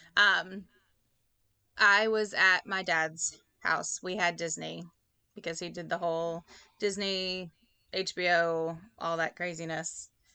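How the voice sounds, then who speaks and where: Against a quiet background, a woman with a Louisiana accent speaks at a very slow pace with long, frequent pauses, her fairly low pitch carrying a bright, sharp tone and monotone, flat intonation. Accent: Southern US (Louisiana). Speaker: podcast co-host. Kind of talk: casual chat.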